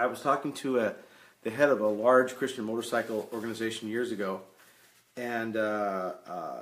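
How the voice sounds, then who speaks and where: This man has a plain, everyday voice and a medium pitch. He keeps a moderate pace, his intonation fairly even. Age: 60s. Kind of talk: live stream talk explaining a reporting form. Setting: Facebook live stream. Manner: conversational, repeats words when thinking.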